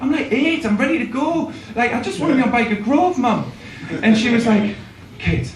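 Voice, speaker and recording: A man speaks at a fairly quick pace in an extremely high pitch with ordinary pitch variation, taking long, frequent pauses, with audible room echo and noticeable background noise. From northern England, Newcastle (Geordie). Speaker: stand-up comedian. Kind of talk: stand-up. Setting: stage with audience. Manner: halting.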